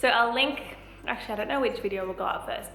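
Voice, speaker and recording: There is audible room echo and noticeable background noise. Through it, a woman speaks at a high pitch. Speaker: lifestyle vlogger. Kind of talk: casual vlog talk.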